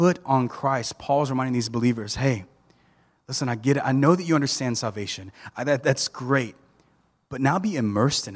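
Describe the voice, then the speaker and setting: The speaker is a man with an American accent. He talks at a fairly high pitch. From US South, South Georgia (Thomasville). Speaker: preacher. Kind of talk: sermon.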